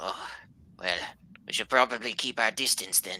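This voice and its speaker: The speaker puts on a character voice pitched low. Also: moderate pace. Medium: actual play. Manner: formal, steady.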